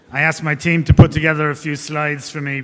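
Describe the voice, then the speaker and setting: In an Irish accent, a man talks at a fairly quick pace with a fairly high pitch and monotone, flat intonation. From Ireland. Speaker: investment banker. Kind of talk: conference talk. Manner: hesitant, many fillers.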